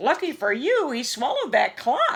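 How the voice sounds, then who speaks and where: A woman puts on a character voice with a high pitch. Her pitch swings very widely at a moderate pace. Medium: read story.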